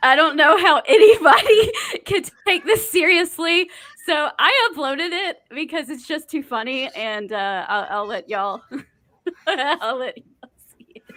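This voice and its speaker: With a Southern US accent, a woman speaks in a high voice at a fairly slow pace. Her pitch swings very widely, and her loudness shifts in big swings. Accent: US South. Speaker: podcast co-host. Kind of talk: casual chat.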